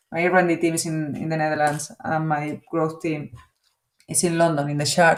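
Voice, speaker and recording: A woman talks at a moderate pace with a Spanish accent. Her pitch is very deep and low. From Spain. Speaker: business executive. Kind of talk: interview. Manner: halting, with fillers.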